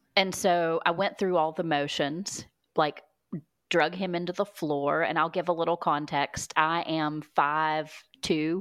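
A woman's fairly low-pitched, fairly evenly intoned delivery at a fairly slow pace, an unremarkable speaking voice in a very clean recording with a silent background. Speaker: speech-language pathologist. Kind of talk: testimony.

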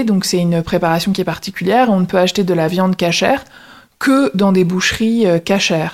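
Her voice is an ordinary speaking voice, pitched in the middle range for a woman, and her pitch varies in an ordinary way. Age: 30s. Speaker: lawyer retraining in HR. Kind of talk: casual interview conversation.

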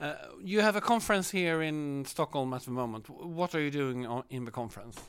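Fairly high-pitched and lively in intonation, a man with a Swedish accent speaks at a fairly quick pace. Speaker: interviewer. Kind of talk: interview. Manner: halting, many fillers.

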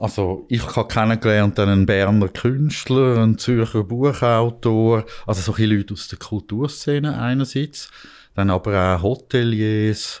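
A fairly low-pitched male voice, fairly slow in pace and fairly even in intonation, on a very clean recording with a silent background. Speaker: investigative journalist. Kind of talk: conversational storytelling. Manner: hesitant with fillers.

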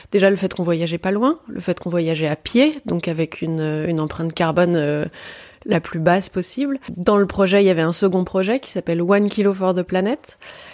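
An ordinary speaking voice from a woman, fairly low in pitch, with ordinary pitch variation and a moderate pace. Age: 30s. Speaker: travel writer and adventurer. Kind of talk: interview.

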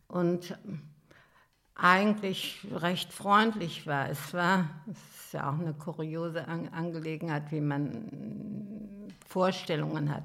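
Audible room echo surrounds a woman speaking at a very slow pace, her fairly low voice bright and sharp in tone with vocal fry. Her loudness swings widely. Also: ordinary pitch variation. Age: 80s+. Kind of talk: life story interview. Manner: halting.

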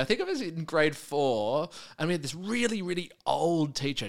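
This man's voice sits fairly high, with lively intonation at a moderate pace. The recording is very clean, with a silent background. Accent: Australian. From Melbourne, Australia (south-eastern suburbs). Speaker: drag performer and comedian. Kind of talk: casual interview chat.

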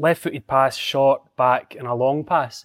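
A man with a Scottish accent speaks at a fairly high pitch with fairly even intonation, in a dry, close sound with no echo on a very clean recording with a silent background. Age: 40s. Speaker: former footballer and football pundit. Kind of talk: casual chat.

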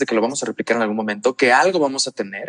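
Recorded with a dry, close sound and no echo, a man with a normal speaking voice talks at a medium pitch with ordinary pitch variation. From Mexico, La Paz, Baja California Sur. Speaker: LGBTQ+ youth advocate. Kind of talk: interview.

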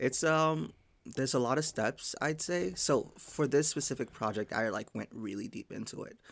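There is vocal fry in this man's American accent as he speaks at a moderate pace on a very clean recording with a silent background. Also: medium pitch for a man. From Haiti, then Massachusetts from age 10. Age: 20s. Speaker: software engineer. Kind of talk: casual chat.

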